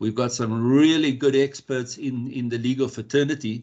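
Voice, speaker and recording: A man with an Afrikaans accent speaks at a moderate pace with fairly even intonation against a quiet background. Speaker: electrical compliance specialist. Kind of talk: workshop presentation. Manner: halting, many repeated words.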